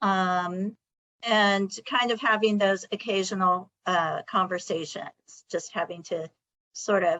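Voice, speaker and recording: A woman's voice sits at medium pitch and moves very slowly. It shows ordinary pitch variation. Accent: Californian. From California, Sacramento. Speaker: college administrator. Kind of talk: discussion.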